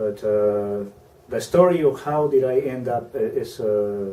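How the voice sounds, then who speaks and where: A man with a Peruvian accent, medium in pitch, dark and mellow in tone. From Peru, small southern coastal town. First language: Spanish. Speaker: university program officer. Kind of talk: interview. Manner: halting, many fillers.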